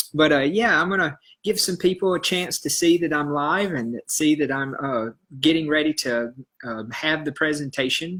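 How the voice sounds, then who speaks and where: A man's fairly high voice with a Southern US accent, bright and sharp in tone, at a moderate pace. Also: ordinary pitch variation. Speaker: health educator, iridologist. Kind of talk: live stream talk. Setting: live video stream. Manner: hesitant, many fillers.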